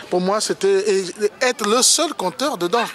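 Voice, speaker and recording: A high-pitched man at a very slow pace, dry sound with no echo and noticeable background noise. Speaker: storyteller and author. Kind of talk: interview answer. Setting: outdoors. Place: street. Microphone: phone near.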